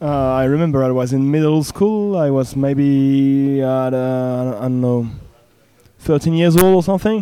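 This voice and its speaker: This man speaks with a French accent at a moderate pace. His pitch is fairly high, with ordinary variation. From France. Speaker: punk band member. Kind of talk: casual interview. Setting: music festival.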